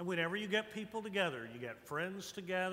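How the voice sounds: A voice reading naturally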